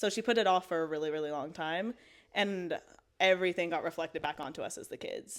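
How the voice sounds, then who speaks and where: At a very fast pace, a woman with a fairly low pitch speaks in a Maritime Canadian accent, with ordinary pitch variation. The recording is very clean, with a silent background. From Canada, Halifax, Nova Scotia. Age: 20s. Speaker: storyteller sharing a faith testimony. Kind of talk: testimony. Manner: casual, filler-heavy (like, um).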